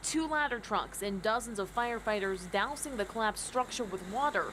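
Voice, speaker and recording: In an ordinary speaking voice, a woman with a fairly high pitch talks at a fairly quick pace with lively intonation. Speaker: news anchor. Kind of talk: TV news anchor read.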